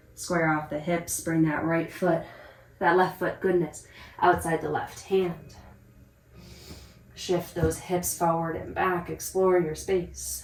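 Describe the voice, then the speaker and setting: A woman speaks at a very slow pace with long, frequent pauses and audible room echo. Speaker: yoga instructor. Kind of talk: guided yoga class.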